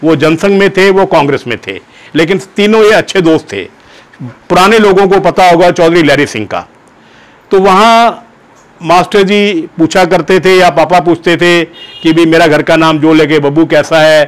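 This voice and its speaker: A man speaks in a high voice. His pitch variation is ordinary. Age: 70s. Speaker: former student paying tribute. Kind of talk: personal anecdote, storytelling. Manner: animated, conversational.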